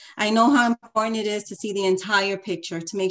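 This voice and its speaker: Keeping her intonation fairly even, a woman speaks at a moderate pace. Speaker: political candidate. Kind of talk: candidate debate. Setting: video call. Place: home room. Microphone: video call.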